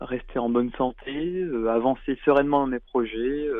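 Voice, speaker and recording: This is a man talking. His pace is fairly slow. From France. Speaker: comic book author. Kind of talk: interview. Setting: phone call. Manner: hesitant, repeats words.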